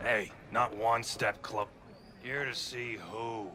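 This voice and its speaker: A raspy put-on character voice at a very slow pace over clear background noise. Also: man, medium pitch for a man. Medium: video game. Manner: blunt, clipped.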